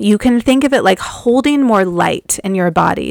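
A woman speaks in a nervous, excited tone. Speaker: spiritual podcast host and Akashic Records reader. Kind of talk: solo monologue about spiritual experiences. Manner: nervous, excited about channeling.

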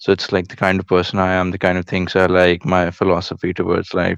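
The speaker talks at a fairly quick pace with an Indian accent. The sound is dry and close, with no echo. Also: man. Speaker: caller, business student. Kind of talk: casual chat. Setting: remote call-in.

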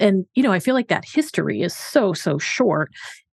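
A woman at medium pitch, with vocal fry and very wide pitch swings, in a dry, close sound with no echo. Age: 40s. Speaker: physician, podcast co-host. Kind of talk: casual chat.

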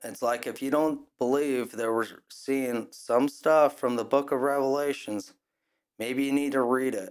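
In a very clean recording with a silent background, a man with an American accent and a normal speaking voice talks at a fairly slow pace, his medium pitch held in fairly even intonation. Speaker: podcast host. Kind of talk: angry rant; solo opinion podcast monologue. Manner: indignant, fired up, scornful; conversational, casual, with filler words.

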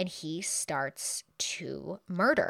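Animated in tone, a woman speaks in a very clean recording with a silent background and a dry, close sound with no echo. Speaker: true crime podcast host. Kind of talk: true-crime horror narration, scripted and read aloud in grisly detail. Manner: grim, dramatic, steady storytelling pace; animated and chatty in casual asides.

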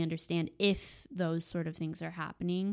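A woman with an unremarkable speaking voice talks at a fairly low pitch and a moderate pace, with ordinary pitch variation. The recording is very clean, with a silent background. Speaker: podcast guest, host's wife. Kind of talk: casual chat.

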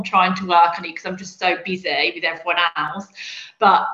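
Over noticeable background noise, a woman with a Birmingham accent speaks fairly quickly at a medium pitch. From Birmingham, England. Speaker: PR specialist. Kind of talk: casual interview chat.

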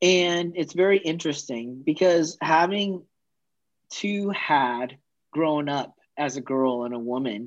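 Against a quiet background, a man with a fairly high pitch and an American accent speaks at a fairly slow pace in an ordinary speaking voice, with ordinary pitch variation. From US West Coast, the valley. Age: 40s. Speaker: podcast guest. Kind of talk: interview conversation.

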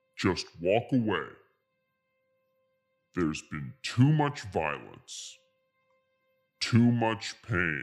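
A man speaks at a very slow pace in a menacing, solemn tone. Faint music plays in the background. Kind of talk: post-apocalyptic movie villain parody. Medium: comedy sketch. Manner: menacing, solemn, slow.

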